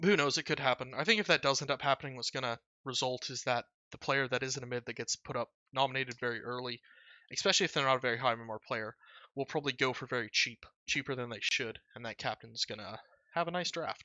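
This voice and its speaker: Speech comes at a very fast pace with ordinary pitch variation. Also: man, medium pitch for a man. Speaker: gaming video creator. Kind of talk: casual commentary over a spreadsheet. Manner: many filler words.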